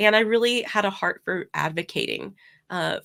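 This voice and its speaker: A woman's vocal fry at a moderate pace, with fairly even intonation, on a very clean recording with a silent background. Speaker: ESL teacher and coach. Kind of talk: interview conversation. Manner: hesitant, many fillers.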